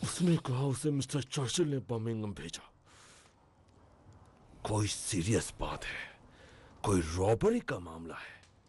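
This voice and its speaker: A man's put-on character voice at medium pitch, fairly slow, with long, frequent pauses, big swings in loudness and very wide pitch swings. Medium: fan dub.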